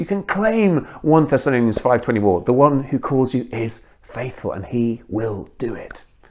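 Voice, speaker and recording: A man with a British accent and lively intonation. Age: 40s. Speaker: guest preacher, missionary. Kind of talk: sermon.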